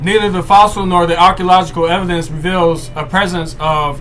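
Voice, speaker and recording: A loud voice with fairly even intonation comes through. Noticeable background noise and audible room echo surround it. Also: man. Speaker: livestream host. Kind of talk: reading aloud. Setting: live stream. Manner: halting.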